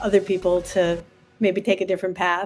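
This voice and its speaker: A woman talks at a moderate pace in an American accent, with music in the background. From Massachusetts. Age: 60s. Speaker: physician and state senator. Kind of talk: casual interview.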